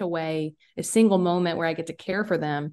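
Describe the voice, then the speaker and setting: Someone with a Southern US accent speaks against a quiet background. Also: woman. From US South, rural South Carolina. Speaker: musician and podcaster. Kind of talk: casual chat.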